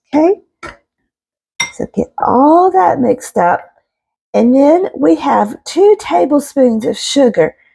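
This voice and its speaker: A woman with a high pitch and a dark, mellow tone speaks very slowly in a Southern US accent, with very wide pitch swings and long, frequent pauses, in a dry, close sound with no echo. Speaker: home cook, homesteading channel host. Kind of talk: casual cooking tutorial to camera. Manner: warm, chatty.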